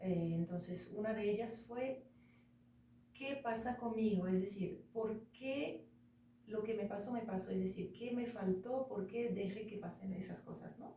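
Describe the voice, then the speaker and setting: With noticeable background noise and audible room echo, a woman in a French accent speaks at a medium pitch and a fairly slow pace with ordinary pitch variation. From France. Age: 40s. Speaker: interview guest. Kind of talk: casual interview.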